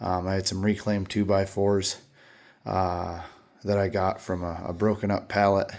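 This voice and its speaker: The man's delivery is monotone and flat. He keeps to a moderate pace. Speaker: lawn care business owner. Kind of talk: casual workshop vlog. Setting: garage. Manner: casual with many fillers.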